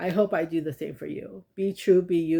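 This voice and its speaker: In a very clean recording with a silent background, a woman speaks at a moderate pace and fairly low pitch, her dark, mellow, warm and soothing tone held to fairly even intonation. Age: 30s. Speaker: tarot reader and life coach. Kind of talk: tarot reading with affirmations. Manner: halting; warm, soothing.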